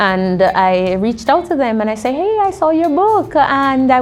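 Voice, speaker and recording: Through noticeable background noise and audible room echo, a woman speaks at a fairly slow pace with very wide pitch swings. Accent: Jamaican. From Jamaica. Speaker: linguist and university lecturer. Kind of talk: interview.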